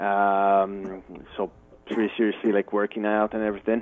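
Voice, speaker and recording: Speaking at a moderate pace, a man has a slight French Canadian accent. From New Brunswick, Canada. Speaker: fitness cook. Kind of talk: radio interview. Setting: phone call. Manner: hesitant, many fillers.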